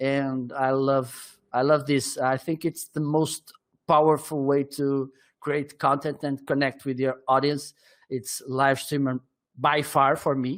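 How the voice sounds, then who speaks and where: Speaking at a very slow pace, a man with a Portuguese accent uses a fairly high pitch and a monotone, flat intonation. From northern Portugal. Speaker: marketing consultant and livestreamer. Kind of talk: interview. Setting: live stream. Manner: halting.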